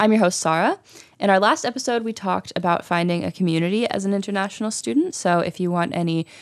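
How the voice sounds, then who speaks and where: A woman with an American accent speaks at a medium pitch with ordinary pitch variation. Hers is an unremarkable speaking voice. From US. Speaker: podcast host. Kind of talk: casual interview.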